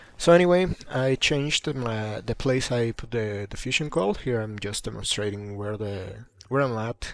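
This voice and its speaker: A man with a non-native accent speaks at a medium pitch and a moderate pace. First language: not English. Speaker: gaming youtuber. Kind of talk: gameplay commentary. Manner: halting, many fillers and repeats; casual.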